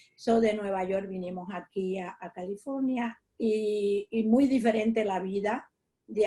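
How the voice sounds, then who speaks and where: A woman's fairly high, somewhat breathy voice with a dark, mellow tone, fairly even intonation and a very slow pace. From Puerto Rico. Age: 80s+. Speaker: interviewee, senior community member. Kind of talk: interview. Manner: halting, with fillers.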